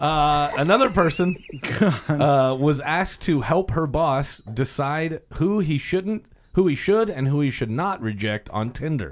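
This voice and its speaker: A man with a plain, everyday voice and a fairly high pitch speaks at a fairly slow pace with lively intonation. The recording is very clean, with a silent background. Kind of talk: radio DJ patter: upbeat segment-host banter cueing a guest's PSA and music. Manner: chipper, polite showman tone with easy quips and mock-formal announcer flourishes.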